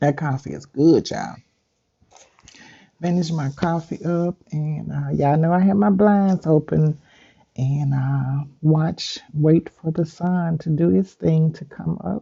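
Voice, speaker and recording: Somewhat breathy and relaxed, a woman with a very deep, low pitch speaks at a very slow pace with ordinary pitch variation. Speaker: spiritual content creator. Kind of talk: casual talk to viewers. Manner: relaxed, conversational.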